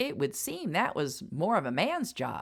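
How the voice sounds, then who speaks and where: A put-on character voice sits at a middle pitch and swings very widely. The pace is moderate. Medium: read story.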